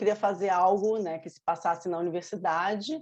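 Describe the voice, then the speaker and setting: A woman speaks at a moderate pace with a medium pitch. Her tone is dark and mellow, and her intonation stays fairly even. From Brazil, Rio de Janeiro with Minas Gerais ties. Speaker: novelist. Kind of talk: interview.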